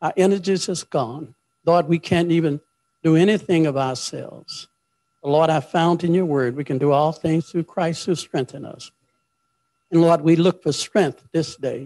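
Speaking at a moderate pace with fairly even intonation, a man has a dark, mellow tone in a dry recording with no echo and a quiet background. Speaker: preacher. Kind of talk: prayer then sermon. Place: church. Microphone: handheld.

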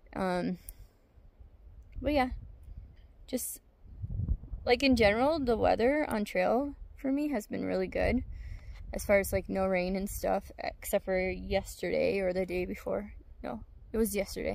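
At a fairly slow pace with long, frequent pauses, a woman of medium pitch speaks with vocal fry, ordinary pitch variation and a slightly mellow tone.

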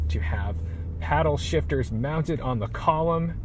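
Through audible room echo and noticeable background noise, a man talks at a fairly quick pace with very wide pitch swings. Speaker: car reviewer. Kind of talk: car review walkthrough. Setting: in a car. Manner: enthusiastic.

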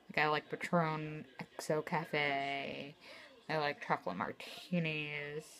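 A woman's very deep, low voice over light background noise. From New Jersey. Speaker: vlogger. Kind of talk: casual vlog monologue. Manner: hesitant, many fillers. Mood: casual, slightly self-deprecating. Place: home room. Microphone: phone near.

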